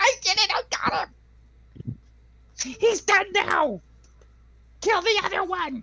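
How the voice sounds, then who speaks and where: A put-on character voice at extremely high pitch and a very slow pace. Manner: gleeful, excited.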